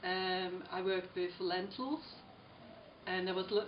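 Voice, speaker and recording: Against noticeable background noise and audible room echo, a woman with a fairly low pitch talks at a fairly slow pace. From Switzerland. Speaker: artist. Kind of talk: interview. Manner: halting, many fillers.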